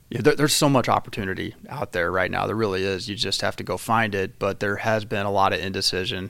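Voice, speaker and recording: Over a silent background in a very clean recording, a man with a Midwestern American accent talks at a fairly quick pace in a fairly low pitch. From southeastern Illinois, rural. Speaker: construction company executive. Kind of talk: casual interview.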